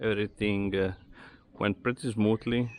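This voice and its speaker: A man with an Italian accent speaks at a fairly low pitch in a monotone, flat intonation. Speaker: amateur car mechanic / garage vlogger. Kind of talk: casual DIY car talk to camera. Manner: hesitant, with filler words.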